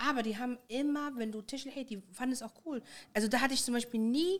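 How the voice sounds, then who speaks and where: A woman talks at a very fast pace with lively intonation and a high pitch. The recording is very clean, the background silent. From Germany, Moroccan Tashelhit-speaking family. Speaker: guest. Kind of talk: casual chat.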